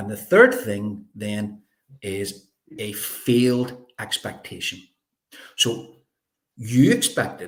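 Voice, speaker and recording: Speaking in a Belfast accent, a man sounds somewhat breathy, his intonation lively. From Northern Ireland, North Belfast. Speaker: life coach. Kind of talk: interview. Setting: live video stream.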